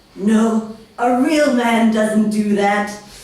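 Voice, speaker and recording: A woman talks at a fairly high pitch while noticeable background noise carries on behind her. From Scotland. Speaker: comedian. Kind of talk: comedic fanfiction reading. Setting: live comedy stage.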